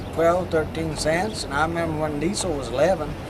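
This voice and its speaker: Moderate pace amid noticeable background noise and audible room echo. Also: man. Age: 70s. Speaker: truck driver. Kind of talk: casual interview.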